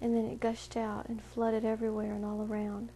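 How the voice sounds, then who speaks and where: A woman with a dark, mellow, somewhat breathy tone and fairly high pitch speaks at a moderate pace. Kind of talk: reading aloud. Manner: monotone.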